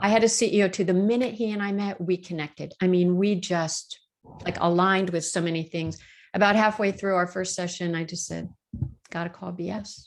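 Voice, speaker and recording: The background stays quiet. A woman talks at a medium pitch. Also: fairly quick pace. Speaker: workplace consultant and executive coach. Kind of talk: casual interview chat. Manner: direct; animated.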